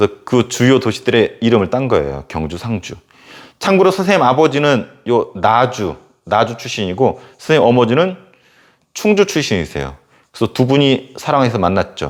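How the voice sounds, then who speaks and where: On a very clean recording with a silent background, a man at medium pitch shows vocal fry and very wide pitch swings. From South Korea, born Gyeongsang, lived long in Incheon. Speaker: history teacher. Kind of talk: lecture. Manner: casual, conversational.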